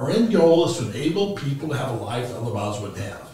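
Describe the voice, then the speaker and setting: A man is speaking with light background noise. Some room echo is audible. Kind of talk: presentation to clients.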